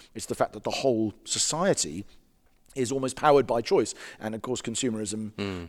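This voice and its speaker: On a very clean recording with a silent background, a man with an English accent speaks very fast at a medium pitch, with ordinary pitch variation. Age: 40s. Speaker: pastor and author. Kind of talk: interview.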